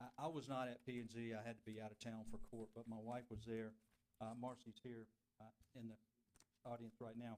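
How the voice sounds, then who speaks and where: A man talks with an American accent. His pace is moderate and his pitch medium. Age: 60s. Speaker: property applicant. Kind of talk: public hearing presentation. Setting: city council meeting. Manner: halting.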